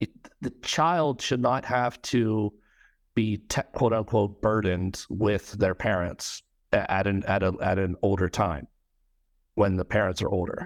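A man with an unremarkable speaking voice, fairly low in pitch, with an American accent, on a very clean recording with a silent background and a dry, close sound with no echo. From United States. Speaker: podcast host. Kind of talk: casual interview chat.

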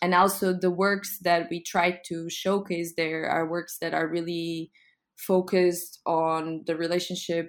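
Very slow speech from a woman with a fairly low pitch in a Portuguese accent, very clean recording with a silent background. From Lisbon, Portugal. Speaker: arts foundation founder. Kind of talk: casual interview.

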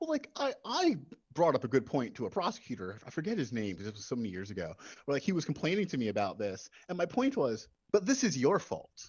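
A man speaks very fast at a fairly high pitch, with very wide pitch swings. Vocal fry runs through his voice. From Central Jersey Shore, Asbury Park. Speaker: legal aid attorney. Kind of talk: casual chat.

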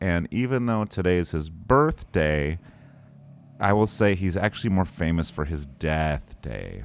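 Spoken with a Northern Michigan accent, the clip is a very clean recording with a silent background. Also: man. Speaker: podcast host. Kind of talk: casual comedic chat.

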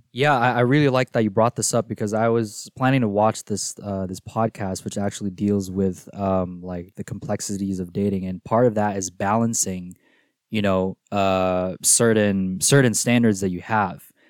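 With a Filipino accent, a man speaks in a fairly low pitch with fairly even intonation, in a dry, close sound with no echo. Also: moderate pace, hardly any pauses, very clean recording, silent background. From Philippines and Singapore. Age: 20s. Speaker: college student. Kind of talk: casual chat. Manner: hesitant, filler-heavy.

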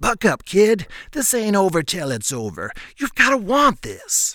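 Putting on a character voice, a man talks at a moderate pace in a high pitch with very wide pitch swings. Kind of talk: gruff. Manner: pep-talking, motivational.

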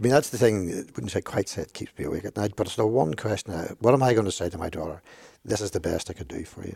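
Very fast pace from a man with a Belfast accent, fairly low pitch, dark, mellow tone, somewhat breathy delivery, lively intonation and big swings in loudness. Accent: Belfast Northern Irish. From Northern Ireland, East Belfast. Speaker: archbishop. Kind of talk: casual discussion.

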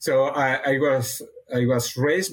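A man with a Catalan accent speaks in a somewhat breathy voice. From Catalonia, Spain (near Barcelona). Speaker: animal nutrition research scientist. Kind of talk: interview. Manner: halting, frequent repetitions.

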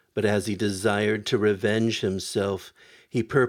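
The speaker is reading. It is plain reading aloud.

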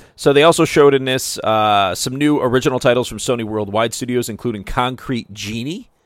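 This very clean recording with a silent background features a man at a medium pitch, speaking fairly quickly with ordinary pitch variation. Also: hardly any pauses. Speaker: podcast host. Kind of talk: casual chat. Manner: fast.

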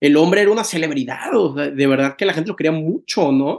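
The voice belongs to a man. There is ordinary variation in his pitch. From Mexico, Tampico. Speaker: podcast host. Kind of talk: casual interview chat. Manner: halting, many repetitions.

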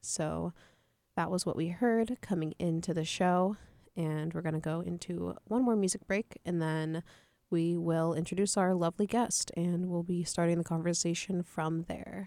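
A woman with a plain, everyday voice and fairly low pitch speaks at a moderate pace with fairly even intonation in a very clean recording with a silent background. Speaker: college radio host. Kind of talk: radio show hosting. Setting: studio.

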